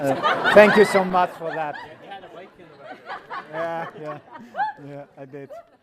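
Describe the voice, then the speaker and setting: A man at a high pitch with ordinary pitch variation, big swings in loudness, a very slow pace with long, frequent pauses, and noticeable background noise. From Iceland. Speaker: groom. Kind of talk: wedding speech. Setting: wedding reception.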